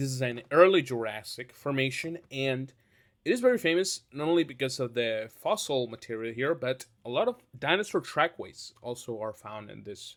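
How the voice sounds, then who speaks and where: Recorded very cleanly against a silent background, a man with a non-native accent talks at a moderate pace in a medium pitch with ordinary pitch variation. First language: not English. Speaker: YouTuber ranking dinosaurs. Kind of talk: casual tier-list commentary. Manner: halting, many fillers.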